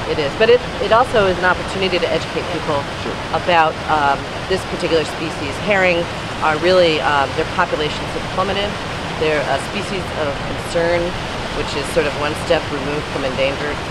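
Over loud background noise, a woman talks at a very fast pace with ordinary pitch variation, in a dry sound with no echo. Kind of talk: interview answer. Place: waterside.

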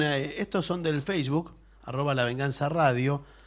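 A man with a plain, everyday voice, fairly high pitch and ordinary pitch variation at a fairly slow pace, quiet background. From Argentina. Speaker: radio co-host and announcer; radio host. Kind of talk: radio comedy chat. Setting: radio studio. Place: studio.

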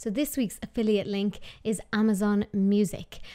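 A woman with an Irish accent speaks at a moderate pace and a fairly high pitch against a quiet background. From Ireland. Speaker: podcast host. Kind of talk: casual interview chat. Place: studio. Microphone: studio mic.

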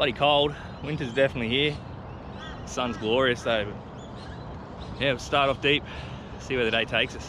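A man talks at a fairly quick pace with fairly even intonation. The sound is dry with no echo, though noticeable background noise is present. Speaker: fishing vlogger. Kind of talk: casual vlog chat. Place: boat. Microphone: phone near.

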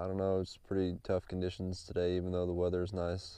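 A man speaks at a fairly quick pace in a very deep, low voice with a dark, mellow tone. The sound is dry with no echo, over a quiet background. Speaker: angler vlogger. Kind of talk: casual vlog chat. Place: boat. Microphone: phone near.

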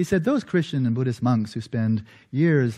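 Against a quiet background, a man speaks in a somewhat breathy voice with a dark, mellow tone. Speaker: lecturer. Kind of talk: lecture. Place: church.

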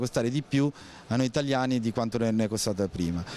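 A man with ordinary pitch variation in a dry sound with no echo. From Voghera, Lombardy, northern Italy; Lombardy, Italy. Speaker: passer-by in street interview. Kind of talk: street interview. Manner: halting, repeated words. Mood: critical, opinionated. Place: street. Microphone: handheld.

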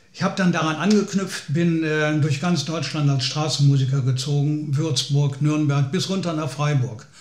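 Amid audible room echo, a man with a fairly high, somewhat breathy voice talks at a moderate pace with fairly even intonation and hardly any pauses. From Lower Rhine region, Germany; Germany. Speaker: folk singer-songwriter. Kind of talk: personal storytelling. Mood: calm, reflective storytelling. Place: home room.

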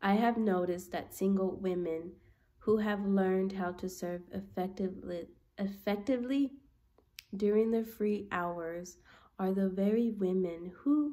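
Over a quiet background, a woman speaks at a fairly slow pace in a dark, mellow tone. Her pitch varies in an ordinary way. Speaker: book reader vlogger. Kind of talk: reading aloud. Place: home room. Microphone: phone near.

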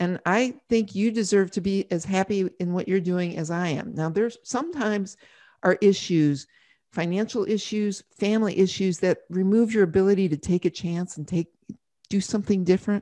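At a moderate pace, a woman speaks with a dark, mellow tone. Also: ordinary pitch variation, quiet background. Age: 60s. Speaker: author and former journalist; former journalist. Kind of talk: interview. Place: home room. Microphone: studio mic.

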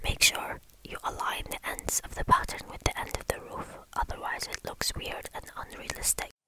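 Someone whispers with hardly any pauses. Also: moderate pace. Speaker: architecture tutor. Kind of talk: ASMR whispered software tutorial. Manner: whispered.

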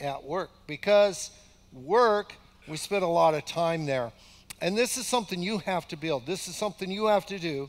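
The voice belongs to a man. He keeps a moderate pace. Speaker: pastor. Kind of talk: sermon. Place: church.

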